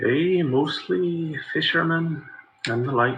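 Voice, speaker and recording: A man's put-on character voice, fairly high in pitch, with ordinary pitch variation and a fairly slow pace. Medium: actual play. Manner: weary.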